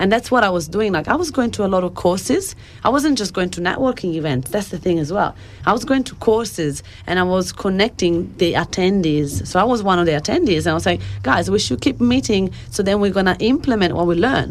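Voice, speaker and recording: A woman with an Italian accent at a fairly quick pace, lively intonation throughout, over noticeable background noise. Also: medium pitch for a woman. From Italy, near Bologna. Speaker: life coach and author. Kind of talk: radio interview.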